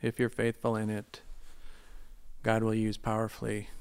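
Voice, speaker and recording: A man speaks in a medium pitch. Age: 50s. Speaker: missionary and Bible teacher. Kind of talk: casual interview chat. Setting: studio.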